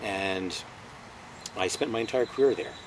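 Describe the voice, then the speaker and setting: With noticeable background noise behind him, a man talks at a moderate pace, his pitch fairly low and his intonation fairly even. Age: 60s. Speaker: retired FBI agent. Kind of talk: interview. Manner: halting, many fillers.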